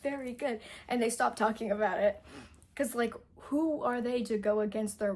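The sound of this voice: Reading done in an unforced voice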